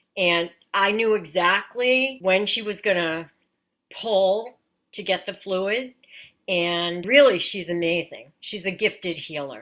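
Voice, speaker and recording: An unremarkable speaking voice from a woman with an American accent, fairly slow, with ordinary pitch variation, on a very clean recording with a silent background. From Massachusetts. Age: 60s. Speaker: patient. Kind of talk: testimony.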